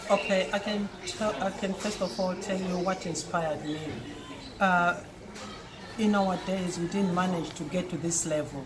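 At a moderate pace, a woman speaks at medium pitch with fairly even intonation and long, frequent pauses. Noticeable background noise sits behind her. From Zimbabwe. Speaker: former netball player. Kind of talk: interview. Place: cafe.

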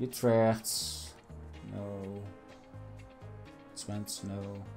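Over music in the background, a man speaks with a Dutch accent and lively intonation. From Netherlands. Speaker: gaming YouTuber. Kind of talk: let's play gameplay commentary. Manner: casual, hesitant.

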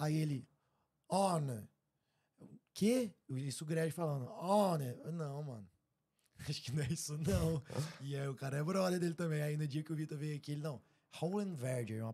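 Against a quiet background, a man with a fairly high pitch and a dark, mellow tone speaks somewhat breathily at a moderate pace, with ordinary pitch variation and long, frequent pauses. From Brazil. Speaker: podcast host. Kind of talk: casual chat. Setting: live stream studio. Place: studio. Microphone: studio mic.

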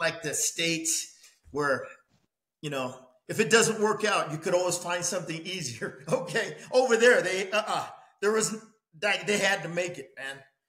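A man speaks at a moderate pace with a bright, sharp tone and ordinary pitch variation, with audible room echo over a quiet background. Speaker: boxing coach guest. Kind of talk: interview answer. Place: home room.

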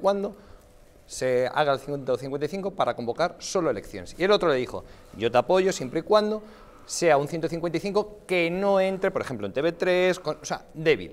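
Here a man speaks at a fairly slow pace. His pitch is high, with lively intonation. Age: 30s. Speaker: politician. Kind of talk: TV panel debate. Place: studio.

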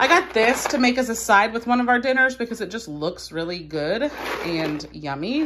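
With noticeable background noise present, a woman keeps to a moderate pace. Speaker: home vlogger. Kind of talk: casual vlog chat. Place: home room. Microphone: phone near.

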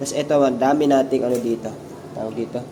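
A man speaks fairly quickly at a medium pitch in a flat monotone. Noticeable background noise runs behind him. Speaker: aquarium hobbyist vlogger. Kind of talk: casual video tutorial. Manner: casual, conversational.

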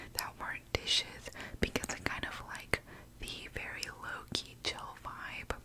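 Very slowly, a woman whispers. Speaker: ASMR creator. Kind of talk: ASMR eating ramble. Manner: whispered; casual, rambling. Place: home room. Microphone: studio mic.

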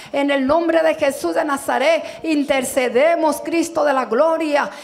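Speaking at a fairly slow pace with fairly even intonation, a woman uses a high pitch against a quiet background. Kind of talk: public prayer. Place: church. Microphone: handheld.

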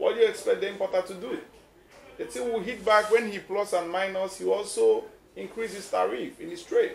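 A man with a Nigerian accent at a fairly quick pace, with light background noise and audible room echo. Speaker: business executive and association chairman. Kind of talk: interview. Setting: outdoors. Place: office. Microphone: handheld.

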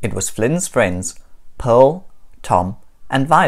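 Someone is reading aloud in a natural voice. The words come at their own rhythm.

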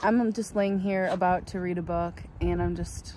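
With a dry sound with no echo and noticeable background noise, a woman speaks at a fairly slow pace. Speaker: full-time traveller vlogger. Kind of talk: casual vlog chat. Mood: relaxed and content. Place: open country. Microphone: phone near.

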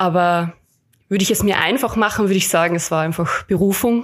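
On a very clean recording with a silent background, a woman with a slight Carinthian accent talks at a medium pitch with fairly even intonation. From Austria, Carinthia. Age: 20s. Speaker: hospital chaplain. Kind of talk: podcast interview.

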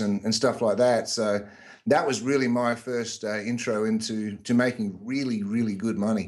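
Speaking at a medium pitch, a man talks in an Australian accent. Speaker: internet marketer. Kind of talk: interview.

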